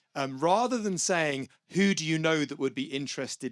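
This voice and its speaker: A man with a British accent and lively intonation at a fairly quick pace, with a dry, close sound with no echo and a very clean recording with a silent background. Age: 50s. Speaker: venture capitalist. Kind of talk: panel discussion. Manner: casual, animated.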